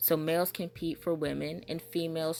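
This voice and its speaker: Over music in the background, a woman with an American accent speaks at a very deep, low pitch. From Southern US. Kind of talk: casual monologue commentary. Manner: fast.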